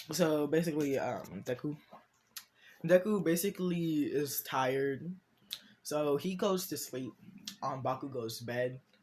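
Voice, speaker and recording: A man with a fairly high, somewhat breathy voice and ordinary pitch variation speaks at a fairly slow pace, leaving long, frequent pauses. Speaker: youtuber narrating fan story. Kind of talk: casual storytelling narration. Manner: halting, many fillers and restarts; speech and word pronunciation difficulty.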